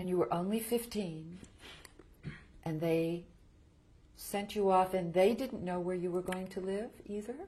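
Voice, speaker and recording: A woman speaks at a fairly slow pace with long, frequent pauses, her voice somewhat breathy. Her pitch sits in the middle range with ordinary variation, and her tone is dark and mellow. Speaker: interviewer. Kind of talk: interview questions.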